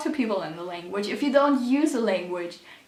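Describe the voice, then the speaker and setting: A woman's high-pitched voice carries lively intonation. Audible room echo and noticeable background noise are present. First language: German. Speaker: youtuber, teacher in training. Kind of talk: casual vlog tips. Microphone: bad audio quality, mic battery dead.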